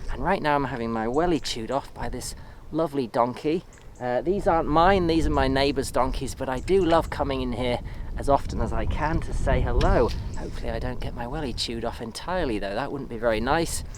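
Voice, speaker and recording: Speech at a fairly quick pace, noticeable background noise underneath. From England. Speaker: off-grid homesteader and video creator. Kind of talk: casual vlog talk to camera. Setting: outdoors in a field with donkeys. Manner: relaxed, with fillers.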